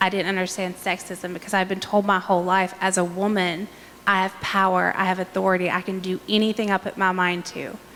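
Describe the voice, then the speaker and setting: In an Appalachian accent, a woman talks at a fairly quick pace. Her intonation stays monotone and flat. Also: medium pitch for a woman. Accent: Appalachian American. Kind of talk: panel discussion.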